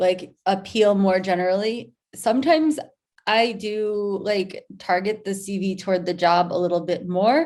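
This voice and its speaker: A woman speaks at a medium pitch with an American accent and ordinary pitch variation. The recording is very clean, with a silent background. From US Northeast, Rochester New York. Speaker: content marketer. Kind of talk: presentation. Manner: hesitant, many fillers.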